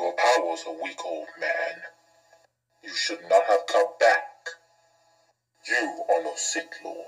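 Using a put-on character voice with a menacing tone, the speaker moves at a fairly slow pace with long, frequent pauses. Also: man. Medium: voice reel. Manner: slow, menacing.

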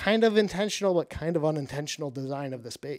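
A man speaks with an Upper Midwest accent. The background is quiet. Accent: Upper Midwest American. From Michigan, mid Michigan. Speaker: professional bass angler and fishing YouTuber; podcast guest. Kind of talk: casual interview chat. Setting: studio. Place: studio. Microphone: studio mic.

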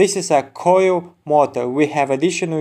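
A man's dark, mellow voice with a non-native accent, ordinary pitch variation and a moderate pace. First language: not English. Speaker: used auto parts seller. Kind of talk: sales pitch. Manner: informative, product-demo style.

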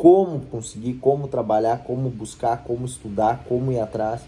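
A man speaks at a fairly slow pace. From Rio Grande do Sul, Brazil. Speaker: lawyer. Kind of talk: vlog-style tutorial to camera. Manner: casual, conversational. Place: office. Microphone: phone near.

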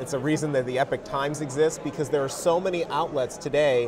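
A man speaks very fast, with noticeable background noise behind him. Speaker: guest. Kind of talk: interview answer.

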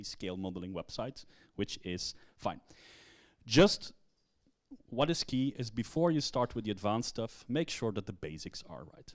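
Against a quiet background, a man speaks at a moderate pace with long, frequent pauses. His loudness swings widely. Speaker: conference speaker. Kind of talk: lecture. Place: hall.

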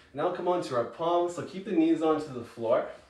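A man speaking at a moderate pace, with audible room echo. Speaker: yoga instructor. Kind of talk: guided yoga class, cueing breath and movement. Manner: encouraging countdown coaching, brisk rhythmic cues; calm, soothing during relaxation. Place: home room. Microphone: camera far.

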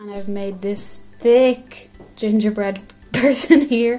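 A woman's fairly high voice with an Irish accent and ordinary pitch variation, over faint background music. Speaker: home baker. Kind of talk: casual talk to camera. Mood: light, jokey. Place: kitchen.

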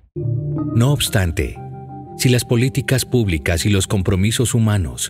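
Over music in the background, a man talks at a fairly slow pace with lively intonation. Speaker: voice actor. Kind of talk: documentary narration.

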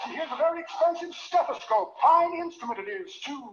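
A put-on character voice at an extremely high pitch drawls in a pompous tone at a fairly quick pace, with light background noise. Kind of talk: 1940s radio comedy. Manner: pompous, florid, sly.

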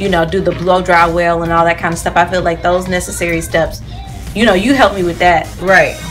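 A woman with a fairly low pitch speaks over clear music in the background. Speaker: salon client vlogger. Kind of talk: casual conversation with stylist. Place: shop.

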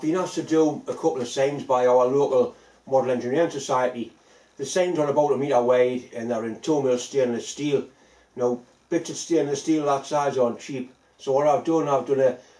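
A man's dark, mellow tone at a fairly quick pace, fairly even in intonation, with audible room echo. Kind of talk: casual workshop vlog chat. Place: workshop. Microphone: phone near.

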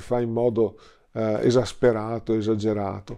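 A man's dark, mellow tone, monotone and flat, at a fairly slow pace against a quiet background. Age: 60s. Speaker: priest and theology lecturer; priest. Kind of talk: interview. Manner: hesitant fillers. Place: home room. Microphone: lapel.

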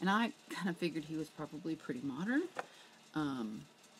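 Against light background noise, a woman with a very deep, low pitch talks at a moderate pace, her pitch swinging very widely. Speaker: reseller showing thrift finds. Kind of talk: casual vlog chat. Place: home room. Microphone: webcam.

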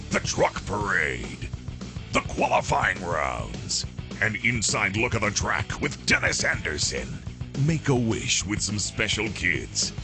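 A man's very deep, low voice with very wide pitch swings, at a very slow pace, with music in the background. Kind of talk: DVD trailer voice-over.

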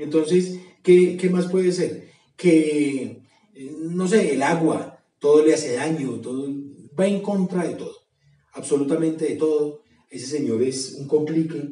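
A man speaks at a fairly slow pace in a dark, mellow tone, pitched fairly high with ordinary pitch variation. Audible room echo surrounds his voice.

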